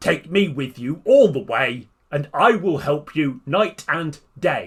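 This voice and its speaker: Using a put-on character voice, a man speaks fairly slowly at a fairly high pitch on a very clean recording with a silent background. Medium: read story.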